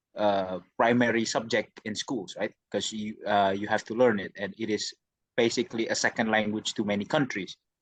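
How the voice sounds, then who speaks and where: A man with an Indonesian accent talks at a moderate pace in a fairly low pitch. His intonation is fairly even, and the sound is dry and close with no echo. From Indonesia, Jakarta. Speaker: university student. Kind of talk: interview. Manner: halting.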